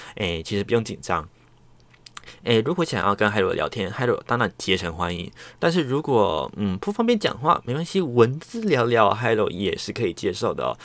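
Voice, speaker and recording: A man at a medium pitch, fairly quick pace and very wide pitch swings. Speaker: solo podcast host. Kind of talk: casual chat. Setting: home recording. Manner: relaxed, chatty with many fillers.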